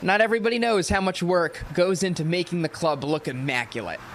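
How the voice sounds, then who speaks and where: Against noticeable background noise, a man with a high pitch talks at a moderate pace with lively intonation. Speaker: sports anchor and reporter. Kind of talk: TV feature voiceover narration.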